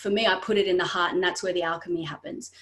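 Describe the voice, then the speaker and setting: A woman speaks. Noticeable background noise runs behind her. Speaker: artist. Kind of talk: podcast conversation. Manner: fast; animated.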